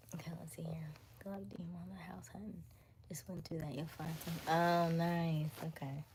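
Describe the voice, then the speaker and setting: With an American accent, a woman speaks at a moderate pace in a very deep, low voice that is somewhat breathy, with ordinary pitch variation, big swings in loudness and audible room echo. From Florida, Jacksonville (Duval). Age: 30s. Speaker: livestreamer. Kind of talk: casual chat. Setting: live stream.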